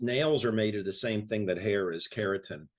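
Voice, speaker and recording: A man talks at a moderate pace and medium pitch. The background is quiet. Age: 60s. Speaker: health product promoter. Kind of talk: casual chat.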